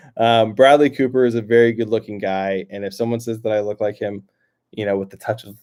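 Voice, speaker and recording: Dark and mellow in tone, the voice stays monotone and flat. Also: man. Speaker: YouTube reaction channel host. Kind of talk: solo livestream chat reading viewer comments. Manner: halting, many fillers and repetitions.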